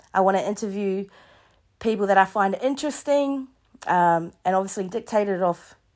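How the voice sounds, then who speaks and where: A woman with a New Zealand accent speaks at medium pitch and a moderate pace. The recording is very clean, with a silent background. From New Zealand, East Coast. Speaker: podcast host, youth justice worker. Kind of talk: solo podcast monologue. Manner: hesitant, with fillers.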